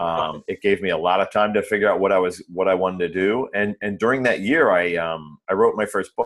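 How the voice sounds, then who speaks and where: In an American accent and a plain, everyday voice, the speaker talks at a fairly quick pace with hardly any pauses. Pitch variation is ordinary. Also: man, fairly low pitch for a man. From small-town US. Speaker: author and Spanish language educator. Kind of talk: interview conversation.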